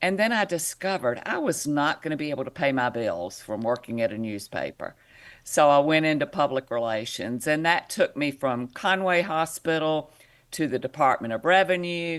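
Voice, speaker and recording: Over a silent background in a very clean recording, a woman with a very deep, low pitch speaks at a moderate pace with lively intonation. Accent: South Carolina. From South Carolina coast, small town. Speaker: public affairs director for a reproductive health advocacy group. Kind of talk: podcast interview.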